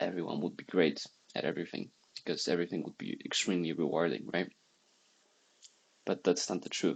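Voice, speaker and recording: A man speaks quietly at a fairly quick pace with a very deep, low pitch and vocal fry. He has a non-native accent, ordinary pitch variation, and long, frequent pauses. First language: not English. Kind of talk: casual talk to camera.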